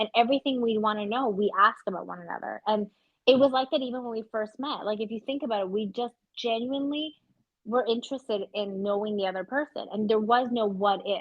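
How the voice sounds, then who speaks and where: A woman with a Canadian accent speaks at a fairly quick pace in a fairly high pitch. Her tone is animated, with ordinary pitch variation. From Canada, Vancouver. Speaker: podcast co-host. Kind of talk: casual chat. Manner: loud.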